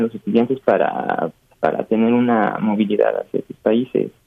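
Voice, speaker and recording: A man is speaking. His pace is fairly slow. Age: young. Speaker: French teacher. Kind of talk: interview. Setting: teleconference. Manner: halting.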